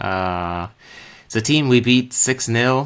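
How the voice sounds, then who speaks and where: Speaking at a very slow pace in an American accent, a man uses a medium pitch and ordinary pitch variation on a very clean recording with a silent background. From Slovakia. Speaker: football podcaster. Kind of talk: solo post-match talk show. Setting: live stream. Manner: hesitant, many fillers.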